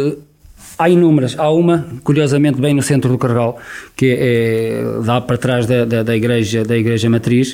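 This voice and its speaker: Here is a man with a plain, everyday voice at a medium pitch. He keeps a moderate pace, fairly even intonation and very even loudness. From Portugal, Viseu district. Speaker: local election candidate. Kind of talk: radio election debate. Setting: radio studio.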